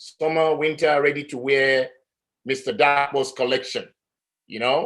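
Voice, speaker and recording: Speaking with an African accent, a man uses a fairly high pitch. His pace is fairly slow, with long, frequent pauses. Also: fairly even intonation, big swings in loudness. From Nigeria. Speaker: artist. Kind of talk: panel discussion. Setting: live-streamed talk.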